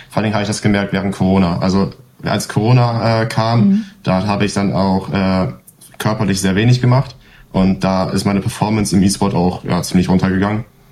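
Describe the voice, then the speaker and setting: A man's fairly low voice, fairly quick and fairly even in intonation, against noticeable background noise. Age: 20s. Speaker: esports player and apprentice. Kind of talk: casual interview.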